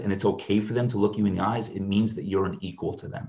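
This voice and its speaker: The speaker is a man. His voice comes across as somewhat breathy. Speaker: ministry leader, inner healing minister. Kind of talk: interview conversation, personal testimony.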